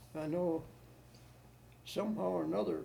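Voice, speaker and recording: Audible room echo surrounds a man speaking with a US Midwestern accent. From Ohio, Medina. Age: 80s+. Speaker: war veteran. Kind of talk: oral history interview. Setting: at home. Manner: halting.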